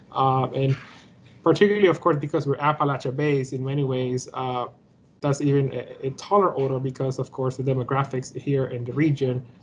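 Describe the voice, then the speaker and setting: The speaker talks at a fairly quick pace with a Spanish accent. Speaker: academic panelist. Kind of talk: conference panel talk. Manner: halting, many fillers.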